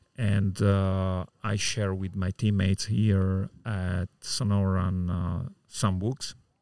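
Delivered at a very slow pace with fairly even intonation, the voice has a dark, mellow tone and an Italian accent. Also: man, very deep, low pitch for a man. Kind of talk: casual interview. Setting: poolside outdoors.

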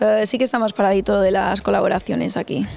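Noticeable background noise runs under a woman who talks at a very fast pace. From northern Spain, Burgos province. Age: young. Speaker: R&B singer. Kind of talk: interview.

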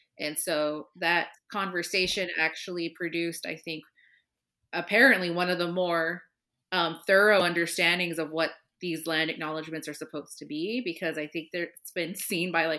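A woman's fairly low, bright, sharp voice with an American accent, moderate pace and fairly even intonation, on a very clean recording with a silent background. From Southern California. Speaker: podcast co-host, museum historian. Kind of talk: casual chat.

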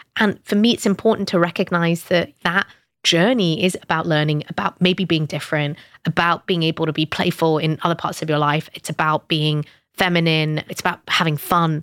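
A woman with a British accent, fairly low pitch, fairly even intonation, and a fairly quick pace, on a very clean recording with a silent background. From northern England, British Pakistani family. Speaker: startup founder. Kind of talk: interview.

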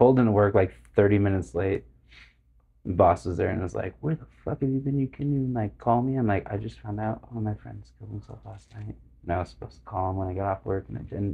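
Very fast and with big swings in loudness, a man speaks in a fairly low voice with ordinary pitch variation. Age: 30s. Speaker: musician and bar owner. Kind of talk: casual chat.

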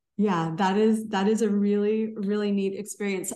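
Speaking at a medium pitch, a woman is heard with audible room echo. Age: 40s. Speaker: podcast host. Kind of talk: casual chat.

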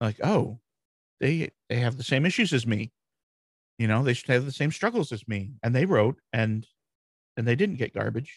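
With an American accent, a somewhat breathy man talks at a moderate pace with long, frequent pauses, the sound dry and close with no echo. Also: medium pitch for a man, lively intonation. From Michigan, US Midwest. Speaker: WordPress strategist and blog founder. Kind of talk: casual interview.

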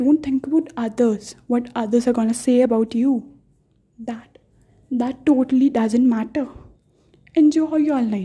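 Pitched high with a dark, mellow tone, a woman speaks at a fairly slow pace with fairly even intonation and long, frequent pauses. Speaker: vlogger. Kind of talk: motivational monologue.

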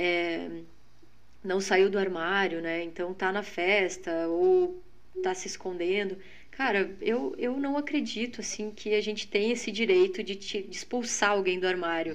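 The woman's voice sits at a medium pitch with ordinary variation. She speaks fairly slowly, and audible room echo surrounds her. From Rio Grande do Sul, Lajeado. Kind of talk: testimony.

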